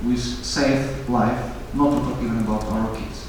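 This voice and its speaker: A man speaks with a Ukrainian accent. The room echoes audibly, and background noise is noticeable. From Ukraine. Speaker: speaker on foreign policy. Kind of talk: conference speech. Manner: halting, repeats words.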